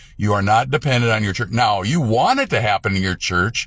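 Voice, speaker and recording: In a very clean recording with a silent background, a man at medium pitch speaks with very wide pitch swings. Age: 60s. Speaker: evangelist. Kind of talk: religious talk to camera. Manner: halting, with many fillers and restarts.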